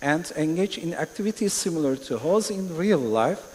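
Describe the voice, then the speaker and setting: With a Turkish accent, a man speaks at a moderate pace over noticeable background noise. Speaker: panelist. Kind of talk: panel discussion. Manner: halting.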